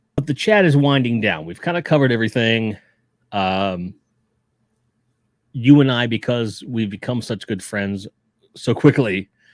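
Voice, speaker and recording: A man with a slight Chicago accent talks at a medium pitch, leaving long, frequent pauses. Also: ordinary pitch variation, moderate pace, very clean recording, silent background. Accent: a little bit of Chicago. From Pittsburgh, Pennsylvania. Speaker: toy collecting streamer, Marine veteran. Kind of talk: casual chat. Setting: live stream.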